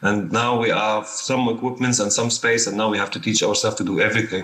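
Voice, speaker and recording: The speech runs at a fairly quick pace in a monotone, flat intonation. Background noise is noticeable. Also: man. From Syria. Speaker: documentary filmmaker. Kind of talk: panel discussion.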